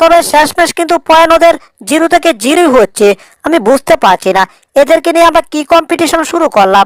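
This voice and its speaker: A woman does a cartoonish character voice at an extremely high pitch with lively intonation. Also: moderate pace. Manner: rambling, puzzled.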